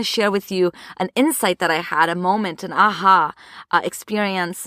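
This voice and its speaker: The sound is dry and close with no echo. A woman speaks at a fairly quick pace. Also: very clean recording, silent background. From Brazil, moved to US as a child. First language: Portuguese. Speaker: podcast host and therapist. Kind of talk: podcast monologue. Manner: conversational with fillers.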